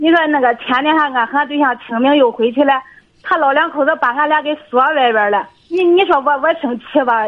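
This woman speaks fairly quickly in a high pitch, with ordinary pitch variation. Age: 30s. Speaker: caller. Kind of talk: phone-in advice call. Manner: animated.

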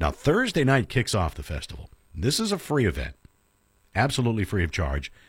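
A man's fairly low voice with vocal fry and very wide pitch swings, at a fairly quick pace, on a very clean recording with a silent background. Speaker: radio host. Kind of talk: radio show hosting and interview. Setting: studio.

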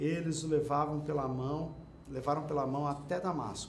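With audible room echo and noticeable background noise, a man with a fairly high voice speaks at a fairly slow pace. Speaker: bible teacher. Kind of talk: bible study lecture. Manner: conversational.

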